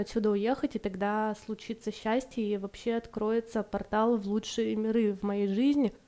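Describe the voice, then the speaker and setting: Her tone dark and mellow, a woman with a fairly high pitch speaks at a moderate pace in a monotone, flat manner. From Irkutsk, Siberia. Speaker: podcast co-host. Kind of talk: casual conversation.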